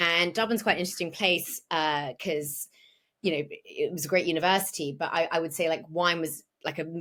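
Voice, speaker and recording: Speaking fairly quickly with a British accent, a woman uses a fairly low pitch, a bright, sharp tone and fairly even intonation. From England. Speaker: wine broadcaster and educator. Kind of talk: podcast interview. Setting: remote call.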